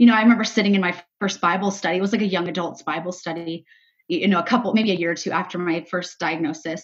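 This woman speaks at a very fast pace, medium in pitch, with fairly even intonation. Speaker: cancer survivor and ministry co-founder. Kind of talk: casual interview, faith testimony.

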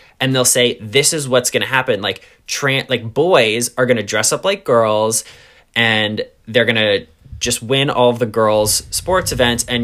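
A man with a New York accent talks at a moderate pace with a bright, sharp tone. His pitch is medium, with ordinary variation. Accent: New York area American. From US, New York suburbs. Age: 20s. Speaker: podcast host. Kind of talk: casual chat.

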